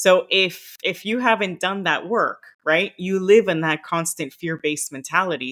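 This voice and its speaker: Speaking at a moderate pace with a Miami accent, a woman has a bright, sharp tone. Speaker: former diplomat, career coach. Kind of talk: podcast interview.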